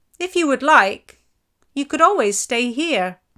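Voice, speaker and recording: Put-on character voice from a woman, high-pitched and fairly slow. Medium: read story.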